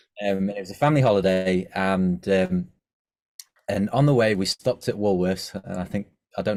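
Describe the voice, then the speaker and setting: Here a man speaks with an English accent at a very deep, low pitch. The recording is very clean, with a silent background. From England, Scunthorpe. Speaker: musical artist. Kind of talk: interview. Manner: halting, many fillers.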